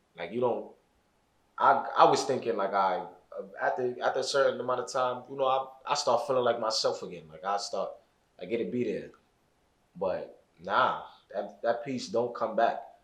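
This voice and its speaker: There is audible room echo as a man speaks. He leaves long, frequent pauses. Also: moderate pace. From Brooklyn, New York (East New York). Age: 20s. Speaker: formerly incarcerated guest. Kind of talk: podcast interview. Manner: halting, repeats words.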